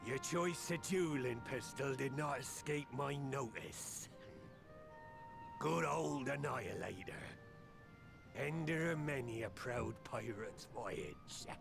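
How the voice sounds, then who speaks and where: Over clear background music, a man does a put-on character voice at a fairly high pitch and fairly slow pace. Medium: game stream. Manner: gruff, archaic pirate speech.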